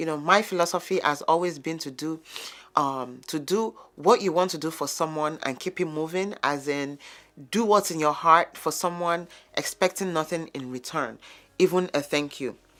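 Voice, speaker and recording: The speaker has a Yoruba accent and talks at a moderate pace. Pitch varies in an ordinary way. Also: woman, fairly low pitch for a woman. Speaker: lifestyle vlogger. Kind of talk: vlog monologue. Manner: conversational.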